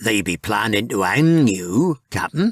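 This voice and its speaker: At a fairly slow pace, a man at medium pitch performs a put-on character voice. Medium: read story. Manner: terse, dutiful.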